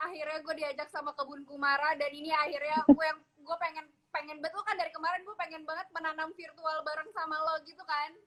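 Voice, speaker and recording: Barely pausing, a woman talks at a very fast pace in an extremely high, monotone voice with flat intonation. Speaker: home gardener. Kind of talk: casual chat. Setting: video call. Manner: soft-spoken. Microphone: no earphone, speaking without headset mic.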